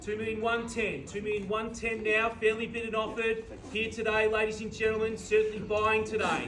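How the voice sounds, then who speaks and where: Loud and high-pitched, a man with an Australian accent talks at a fairly quick pace in a monotone, flat intonation, with audible room echo and noticeable background noise. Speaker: auctioneer. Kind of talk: live auction calling. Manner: fast, rhythmic calling.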